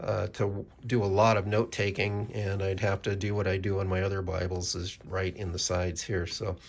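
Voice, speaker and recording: A man's fairly low, somewhat breathy voice, monotone and flat, at a fairly quick pace with hardly any pauses, on a very clean recording with a silent background. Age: 60s. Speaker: Bible reviewer, podcaster. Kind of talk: product review. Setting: home office. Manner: hesitant, many fillers.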